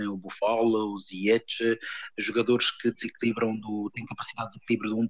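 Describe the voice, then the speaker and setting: A man talks at medium pitch and a moderate pace in a dry, close sound with no echo. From Cape Verde. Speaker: former footballer. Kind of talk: interview. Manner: halting.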